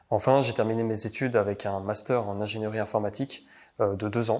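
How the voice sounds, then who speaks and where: In a fairly low pitch and a monotone, flat intonation, a man speaks on a very clean recording with a silent background. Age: 20s. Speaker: IT consultant. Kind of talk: interview. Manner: halting, many hesitations.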